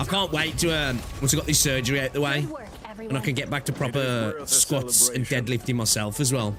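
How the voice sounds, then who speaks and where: Music plays in the background as a man with a Midlands accent speaks at a fairly quick pace and medium pitch. His loudness stays very even, and his pitch varies in an ordinary way. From English Midlands.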